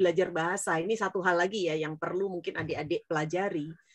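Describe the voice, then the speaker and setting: A woman sounds animated, her tone bright and sharp. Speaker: business speaker. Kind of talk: interview talk to students. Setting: online event.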